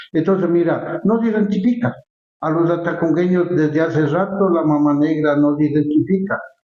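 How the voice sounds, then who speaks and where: A man's high-pitched voice at a moderate pace, with ordinary pitch variation and very even loudness. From Ecuador, Latacunga (Andean highlands). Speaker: cultural figure, former festival honoree. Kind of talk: interview conversation. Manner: halting, frequent repetitions.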